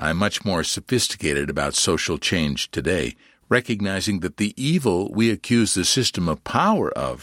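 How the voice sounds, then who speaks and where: A man's fairly low, unremarkable speaking voice at a moderate pace, dry and close with no echo, on a very clean recording over a silent background. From Canada. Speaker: podcast host. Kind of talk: scripted narration; casual chat.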